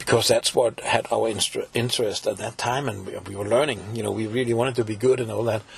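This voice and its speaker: With a Danish accent, a man talks at a very fast pace with hardly any pauses over noticeable background noise. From Denmark, Copenhagen. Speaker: folk musician and composer. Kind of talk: interview.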